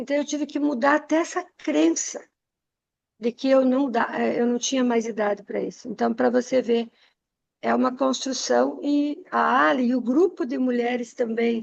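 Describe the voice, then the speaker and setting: Lively intonation from a high-pitched woman at a moderate pace. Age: 60s. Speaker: entrepreneur, women's mentor. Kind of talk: podcast conversation, personal story. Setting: podcast recording.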